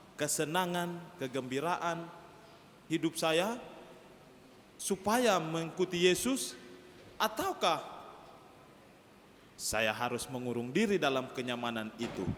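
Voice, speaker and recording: Over noticeable background noise, a high-pitched man talks at a fairly slow pace with lively intonation. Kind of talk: sermon.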